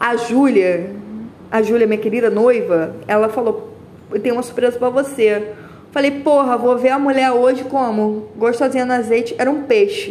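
Her voice is high-pitched. A woman speaks over noticeable background noise with audible room echo. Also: ordinary pitch variation, moderate pace. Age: 20s. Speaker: podcaster. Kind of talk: casual monologue. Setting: walking on the street. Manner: rambling and animated.

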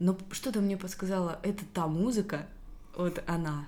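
A woman with an ordinary speaking voice, fairly low in pitch, with fairly even intonation at a moderate pace. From Russia, Rostov region (Belaya Kalitva). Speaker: podcast co-host. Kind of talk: casual interview chat.

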